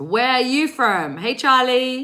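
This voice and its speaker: Her tone is bright and sharp as the woman speaks at a fairly slow pace. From England. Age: 40s. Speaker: psychic reader. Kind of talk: live-stream reading. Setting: live stream. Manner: animated.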